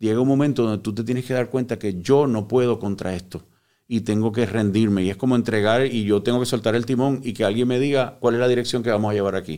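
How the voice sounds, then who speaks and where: In a very clean recording with a silent background, a man speaks very fast. His tone is dark and mellow, and his intonation fairly even. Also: medium pitch for a man. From Puerto Rico (born in Cuba). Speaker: psychotherapist, recovered addict. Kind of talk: personal testimony in interview. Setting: studio.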